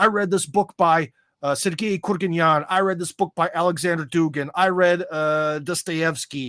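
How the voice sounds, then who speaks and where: A man with an American accent speaks at a moderate pace in a high voice, his tone bright and sharp. The intonation stays fairly even, and the recording is very clean, with a silent background and a dry, close sound with no echo. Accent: American accent, noticeable in Russian. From USA. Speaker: American expat commentator on Russia. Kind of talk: podcast interview. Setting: live stream. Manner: loud; casual, many fillers.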